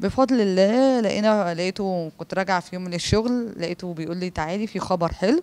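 A woman talks at a fairly quick pace. Her pitch varies in an ordinary way. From Egypt. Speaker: PE teacher and master's graduate raised in an orphanage; interviewee. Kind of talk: interview testimony. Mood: warm, grateful. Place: home room. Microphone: handheld.

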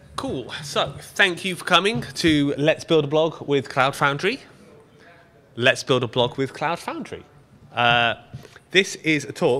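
With an English accent, a man speaks fairly slowly in a bright, sharp tone, his pitch varying in an ordinary way. He leaves long pauses, and often. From Britain. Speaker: software engineer, project lead. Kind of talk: live coding conference talk. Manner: casual, joking. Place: meeting room.

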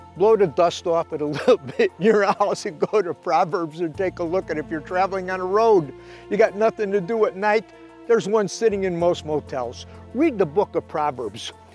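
Fairly quick speech with a dry sound, no echo, and faint music in the background. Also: man, high pitch for a man, ordinary pitch variation. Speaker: fishing show host and inspirational speaker. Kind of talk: inspirational sermon-style talk to camera. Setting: shot indoors in his library with books around him. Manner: conversational, earnest, with frequent filler words. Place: garden.

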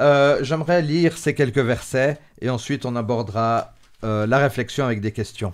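The speaker here is a man. His pace is fairly slow. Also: quiet background. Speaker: religious show host. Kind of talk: bible study discussion. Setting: studio. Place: studio. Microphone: studio mic.

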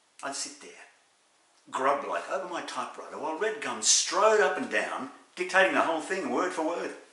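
Fairly quick, high-pitched speech from a man with an Australian accent, plus audible room echo. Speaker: actor. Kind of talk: dramatic monologue. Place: home room. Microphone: webcam.

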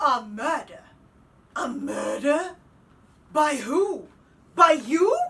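Using a put-on character voice, a woman speaks high with lively intonation at a very slow pace, leaving long, frequent pauses. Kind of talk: audition self-tape.

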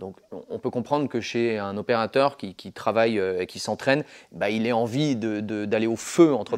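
Against a quiet background, a man talks at a fairly quick pace with ordinary pitch variation and big swings in loudness. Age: 30s. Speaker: martial arts and shooting instructor; shooting instructor. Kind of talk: casual chat. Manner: halting. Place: gym. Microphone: lapel.

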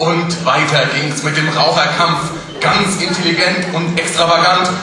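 A man's fairly slow speech in strong room echo with noticeable background noise. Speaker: carnival speech performer. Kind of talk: carnival Büttenrede, rhymed comic speech to a live audience. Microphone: podium.

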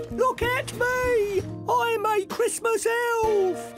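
A put-on character voice at an extremely high pitch speaks at a very slow pace. Music is clearly heard in the background. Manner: cheerful, playful.

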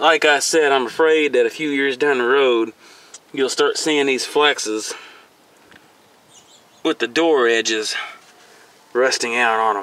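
A man speaks at a fairly slow pace with fairly even intonation and long, frequent pauses. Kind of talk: casual vlog commentary. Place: street. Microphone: phone near.

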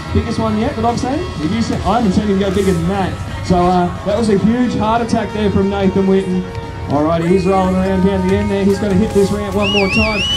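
A man speaks at a very fast pace. Clear music plays in the background. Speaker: event announcer. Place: open country.

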